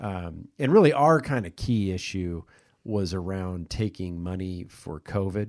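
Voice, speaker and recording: Very clean, with a silent background, the recording has a man with an American accent speaking at a fairly slow pace with a very deep, low pitch and ordinary pitch variation. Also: big swings in loudness. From US Midwest, Kansas City. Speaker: podcast host. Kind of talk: casual chat. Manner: halting, many fillers and repeats.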